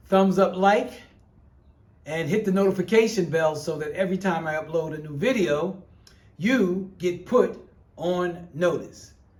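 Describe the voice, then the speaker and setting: A man speaks with a high pitch, an animated tone and lively intonation. Audible room echo surrounds him. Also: long, frequent pauses, big swings in loudness. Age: 60s. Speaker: YouTuber. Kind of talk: casual chat.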